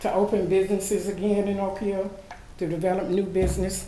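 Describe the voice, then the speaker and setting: With an American accent and monotone, flat intonation, a woman speaks over noticeable background noise and audible room echo. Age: 60s. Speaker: public commenter at city meeting. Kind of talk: public comment at meeting. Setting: city commission meeting.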